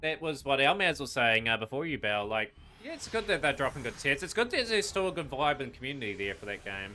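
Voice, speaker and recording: In a New Zealand accent, a man talks at a very fast pace with a fairly high pitch. His tone is bright and sharp, and his pitch swings very widely. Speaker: gaming streamer. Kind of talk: live stream commentary while gaming. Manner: casual, with frequent fillers.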